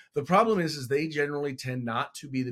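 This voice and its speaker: A man talking very fast, with ordinary pitch variation. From California, San Francisco Bay Area. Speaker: congressional candidate and school board member. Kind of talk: interview.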